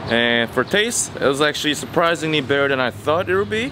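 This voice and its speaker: Speaking at a moderate pace, a man is heard through noticeable background noise. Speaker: food vlogger. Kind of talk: casual vlog chat. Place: street. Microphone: phone near.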